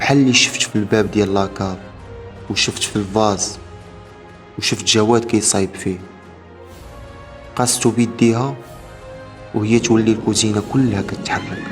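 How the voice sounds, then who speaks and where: A man talks with long, frequent pauses and fairly even intonation. Music plays in the background. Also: fairly low pitch for a man, moderate pace. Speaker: horror story narrator. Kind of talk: horror story narration.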